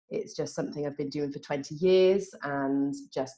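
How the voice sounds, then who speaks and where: A dark, mellow tone with a British accent. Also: woman. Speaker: drug and alcohol expert. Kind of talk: interview.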